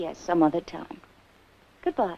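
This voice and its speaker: A woman's voice with lively intonation at a moderate pace. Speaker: film actress. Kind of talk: scripted film dialogue. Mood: polite, then uneasy. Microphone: old recording.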